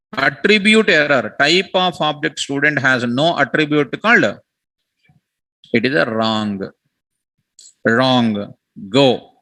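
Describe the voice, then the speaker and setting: Speaking at a very slow pace with an Indian accent, the voice leaves long, frequent pauses. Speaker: programming teacher. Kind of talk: lecture.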